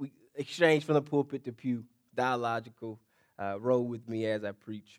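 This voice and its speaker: A man talks at a medium pitch with ordinary pitch variation on a very clean recording with a silent background. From US South, Mississippi. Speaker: pastor. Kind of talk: sermon. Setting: church. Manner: call-and-response preaching style.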